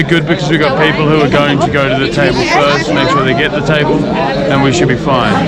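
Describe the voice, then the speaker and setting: A man at a fairly high pitch talks fairly quickly with ordinary pitch variation amid noticeable background noise and audible room echo. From New Zealand. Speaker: travel vlogger. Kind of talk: casual vlog chat. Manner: casual, swearing, animated.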